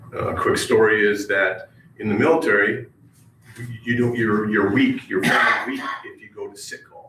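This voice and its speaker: Noticeable background noise is present throughout. A man talks fairly slowly over it. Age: 60s. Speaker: retired army veteran, public commenter. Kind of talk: public comment at county meeting. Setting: county government meeting room. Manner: halting, many fillers.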